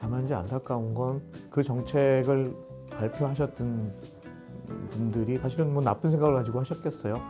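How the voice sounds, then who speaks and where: Over music in the background, a man talks at a moderate pace and medium pitch with ordinary pitch variation. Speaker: voice actor. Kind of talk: interview answer.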